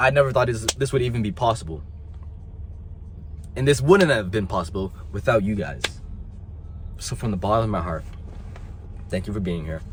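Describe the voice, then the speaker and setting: Passionate in tone, a man speaks at a fairly quick pace with vocal fry. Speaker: motivational youtuber. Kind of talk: motivational talk to camera. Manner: emphatic, passionate; occasional stumbling.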